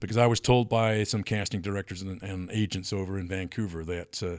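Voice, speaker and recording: A man speaks at a fairly quick pace in a fairly low pitch, with ordinary pitch variation. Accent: strong North American. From southwest England (Plymouth, Devon). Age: 60s. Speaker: actor. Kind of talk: casual chat. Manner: halting.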